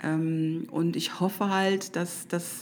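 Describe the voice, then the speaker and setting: A woman's fairly low voice in a monotone, flat intonation. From Düsseldorf. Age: 40s. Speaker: social media expert. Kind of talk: casual interview chat. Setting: studio. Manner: hesitant, many fillers.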